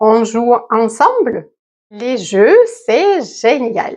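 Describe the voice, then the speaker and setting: Pitched fairly high, a woman's voice moves through very wide pitch swings. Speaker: French teacher. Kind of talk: language lesson narration. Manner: slow and clear.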